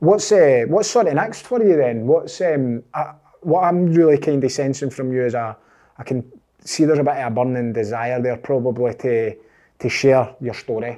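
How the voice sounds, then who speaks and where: In a Scottish accent, a man speaks at a medium pitch with ordinary variation and a dark, mellow tone. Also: moderate pace. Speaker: podcast host. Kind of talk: interview.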